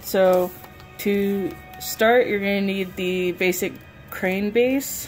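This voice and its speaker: Faint music plays behind a woman who talks at a very slow pace. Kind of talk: tutorial. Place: home room. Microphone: phone near.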